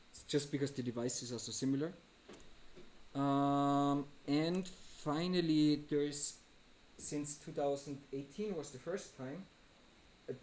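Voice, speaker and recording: A man with a fairly high pitch and ordinary pitch variation talks amid audible room echo. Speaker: programmer and artist giving a lecture. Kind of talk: lecture.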